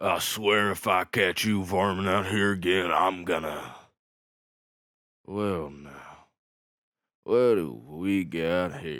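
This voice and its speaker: A man does a raspy, put-on character voice with a rural American accent and a very deep, low pitch. He talks at a very slow pace, leaving long, frequent pauses. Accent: rural American country. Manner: gentle, comforting.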